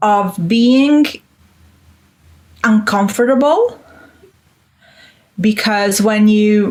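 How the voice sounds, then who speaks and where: A woman with an Italian accent speaks at a very slow pace, with long, frequent pauses. Her fairly high voice is somewhat breathy, with ordinary pitch variation. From Italy. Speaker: Italian teacher. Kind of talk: interview.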